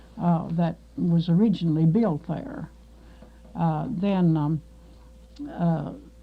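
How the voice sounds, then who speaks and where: Amid noticeable background noise, a woman with a fairly low pitch talks at a very slow pace, with ordinary pitch variation and long, frequent pauses. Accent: American. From Kentucky, Marshall County. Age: 60s. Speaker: oral history interviewee. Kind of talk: oral history interview. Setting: radio studio. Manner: halting, many fillers.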